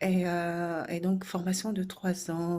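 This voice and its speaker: Her voice has a dark, mellow tone, a woman speaking at a fairly low pitch. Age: 30s. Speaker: social worker seeking a job. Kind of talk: video self-presentation. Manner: halting, many hesitations.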